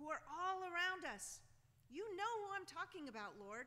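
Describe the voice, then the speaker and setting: A woman speaks in a raised, projected voice with a bright, sharp tone. Her intonation is lively. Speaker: bishop preaching. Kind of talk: sermon. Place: church.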